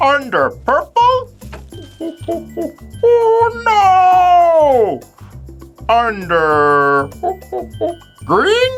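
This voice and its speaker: Over faint background music, a cartoonish character voice goes at a very slow pace with long, frequent pauses. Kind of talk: children's phonics lesson. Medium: puppet. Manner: excited, playful.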